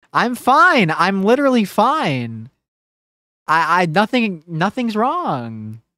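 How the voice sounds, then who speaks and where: The speech moves at a very slow pace, with a quiet background and dry sound with no echo. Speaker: gaming streamer. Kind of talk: casual live stream chat. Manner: low-energy. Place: home room. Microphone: studio mic.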